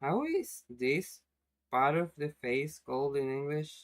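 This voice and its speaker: A very slow pace marks this speaker with a Spanish accent. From Spanish-speaking country. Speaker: animation streamer. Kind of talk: casual live stream chat. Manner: halting.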